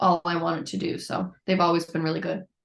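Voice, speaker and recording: A woman speaks at a very fast pace in a fairly low voice with vocal fry. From Newfoundland, Canada (St. John's). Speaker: musician. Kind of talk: interview. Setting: podcast.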